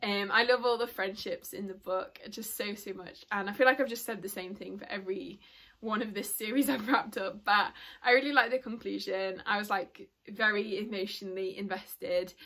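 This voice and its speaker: A woman's bright, sharp tone at medium pitch, with fairly even intonation and big swings in loudness. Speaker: book reviewer. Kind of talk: casual book review vlog. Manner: fast.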